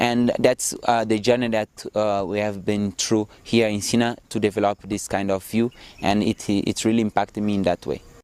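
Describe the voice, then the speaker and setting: This man's voice sits fairly low, with a non-native accent and fairly even intonation. The sound is dry and close, with no echo. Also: moderate pace, hardly any pauses. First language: not English. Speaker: social entrepreneurship student. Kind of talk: interview testimony. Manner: hesitant, many fillers.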